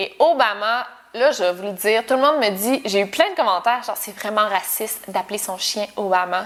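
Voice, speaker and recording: At a moderate pace, a woman with a Quebec accent speaks in a fairly high pitch with ordinary pitch variation and big swings in loudness, over noticeable background noise. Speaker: YouTuber. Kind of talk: casual Q&A vlog. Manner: casual, informal with many fillers.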